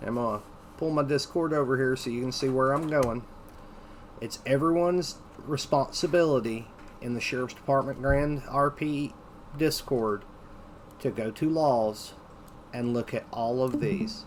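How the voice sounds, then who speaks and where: Pausing long and often, a man with a fairly high voice talks at a moderate pace in a Southern Appalachian accent, his pitch varying in an ordinary way. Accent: Southern Appalachian (Tennessee mountains). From US South, mountains of Tennessee. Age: 40s. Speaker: training instructor. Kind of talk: lecture.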